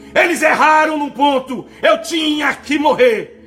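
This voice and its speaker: A man talks at a fairly slow pace in an extremely high pitch. Noticeable background noise sits behind him. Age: 50s. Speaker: pastor. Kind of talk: sermon. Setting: broadcast program. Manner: emphatic, repetitive preaching.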